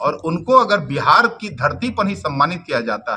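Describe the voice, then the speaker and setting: A man's voice with very wide swings in pitch. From Bhojpur region, Bihar. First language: Bhojpuri (speaking Hindi). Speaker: politician. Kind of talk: press conference statement.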